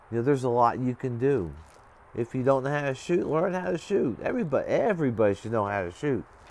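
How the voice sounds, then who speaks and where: At a fairly quick pace, a man talks with lively intonation. His pitch is medium. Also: long, frequent pauses. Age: 60s. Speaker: prepping and ham radio vlogger. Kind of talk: casual monologue. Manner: halting, repetitive.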